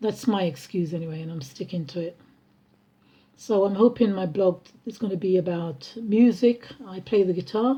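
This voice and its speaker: A woman's dark, mellow, somewhat breathy voice with ordinary pitch variation and big swings in loudness. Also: medium pitch for a woman, moderate pace. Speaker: vlogger and musician. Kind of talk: casual personal vlog. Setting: at home. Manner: halting, many fillers.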